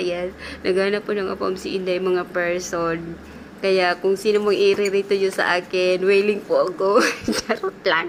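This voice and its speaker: Noticeable background noise sits behind a woman whose medium-pitched voice stays monotone and flat at a moderate pace. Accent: Philippine. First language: Cebuano (speaking Tagalog). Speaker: domestic helper vlogger. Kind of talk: vlog voice-over. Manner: casual chatty.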